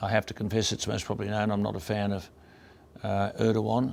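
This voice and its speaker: This man speaks at a fairly low pitch with an Australian accent. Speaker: radio broadcaster. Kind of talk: award acceptance speech.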